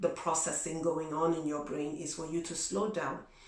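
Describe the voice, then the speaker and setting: Noticeable background noise and audible room echo fill the recording. A woman speaks at a fairly low pitch. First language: not English. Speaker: vlogger. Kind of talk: advice vlog. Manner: conversational, many fillers.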